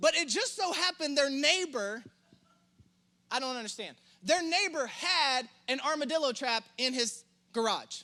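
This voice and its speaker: A man speaks in an extremely high pitch with a Southern US accent, his raised, projected voice animated and broken by long, frequent pauses. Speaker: pastor. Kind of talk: sermon. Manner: fast.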